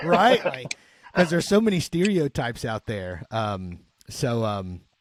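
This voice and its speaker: Here a man speaks in a Southern accent at a medium pitch, with very wide pitch swings. His pace is fairly slow, and the sound is dry and close with no echo. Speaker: podcast host and chaplain. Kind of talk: casual chat.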